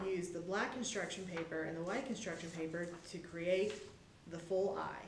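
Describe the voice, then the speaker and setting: Speech moves at a moderate pace. Light background noise and audible room echo are present. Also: woman. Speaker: presenter. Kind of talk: tutorial. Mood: warm, friendly, upbeat. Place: hall.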